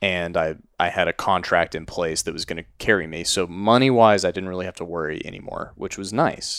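The speaker has a Texan accent and a fairly quick pace. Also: man, very clean recording, silent background. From Texas. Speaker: podcast co-host. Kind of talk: casual interview.

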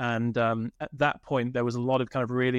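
Someone speaks very fast in a British accent. The sound is dry and close with no echo against a quiet background. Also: man. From United Kingdom. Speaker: tech company CEO. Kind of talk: interview.

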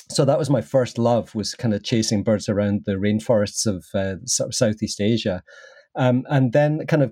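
Speaking at a moderate pace, a man with a medium pitch and a dark, mellow tone shows ordinary pitch variation. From Scotland. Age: 50s. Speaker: landscape photographer and workshop teacher. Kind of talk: casual interview chat.

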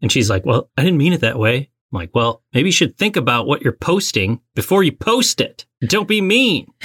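With an American accent, a man speaks at a moderate pace with hardly any pauses, a fairly high pitch, very wide pitch swings, vocal fry, and very even loudness. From northern US. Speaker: podcast co-host. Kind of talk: casual chat.

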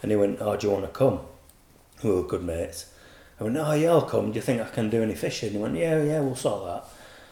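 A man speaks very fast with a Yorkshire accent, and the room echo is audible. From Yorkshire, England. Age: 40s. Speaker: carp angler, bait company manager. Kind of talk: casual chat.

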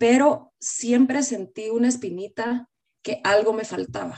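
With ordinary pitch variation, a woman speaks in a fairly high pitch with a dark, mellow tone. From Guatemala. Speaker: company general manager. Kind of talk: interview.

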